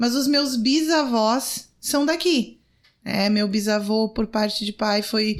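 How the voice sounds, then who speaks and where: A woman speaks in a normal speaking voice at a fairly slow pace, with ordinary pitch variation. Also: very clean recording, silent background. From Rio Grande do Sul interior, Brazil. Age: 40s. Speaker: city councillor and lawyer. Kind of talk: podcast interview.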